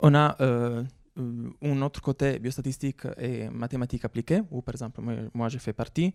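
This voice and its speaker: Intonation stays fairly even throughout. The recording is very clean, with a silent background and a dry, close sound with no echo. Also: man, medium pitch for a man, moderate pace. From Italy. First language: Italian (speaking French). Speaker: researcher. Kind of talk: conference talk. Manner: hesitant, many fillers.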